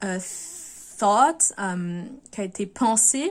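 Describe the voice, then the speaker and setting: On a very clean recording with a silent background, a woman with a French accent speaks somewhat breathily at a fairly high pitch with ordinary pitch variation. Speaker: video blogger. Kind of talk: casual monologue to camera. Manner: halting, many fillers and restarts.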